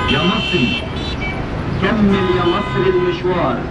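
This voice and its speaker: Loud background noise fills the recording. The speech moves very slowly. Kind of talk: public address slogans. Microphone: pa.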